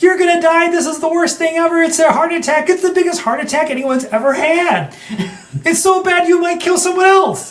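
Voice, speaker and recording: Using a put-on character voice, a man talks at a fairly quick pace in an extremely high, squeaky, whiny pitch. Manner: panicky, catastrophizing.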